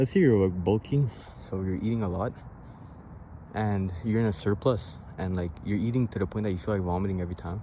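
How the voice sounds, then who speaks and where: A man's fairly low, dark and mellow voice, somewhat breathy, with ordinary pitch variation and a fairly quick pace. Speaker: vlogger. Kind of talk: casual vlog monologue. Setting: outdoors, sitting on grass. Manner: casual, filler-heavy.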